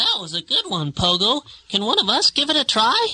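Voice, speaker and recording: At a moderate pace, a female-sounding voice puts on a high-pitched character voice. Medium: read story.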